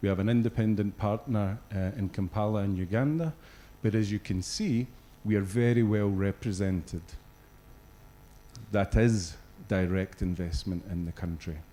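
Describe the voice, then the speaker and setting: A man with a Scottish accent speaks in a dark, mellow tone, with ordinary pitch variation and long, frequent pauses. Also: fairly low pitch for a man, moderate pace. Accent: Scottish, noticeable. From Scotland. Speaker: regional business executive. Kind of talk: corporate presentation. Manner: hesitant, many fillers.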